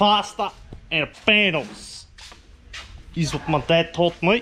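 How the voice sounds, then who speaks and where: With noticeable background noise behind him, a man talks in an Australian accent. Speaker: car vlogger. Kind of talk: casual vlog. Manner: casual, rambling.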